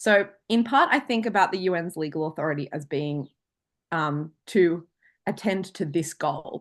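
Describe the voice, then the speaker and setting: A fairly low-pitched woman's voice in an Australian accent, with lively intonation and a quiet background. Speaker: international law lecturer. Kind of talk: online lecture. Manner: fast.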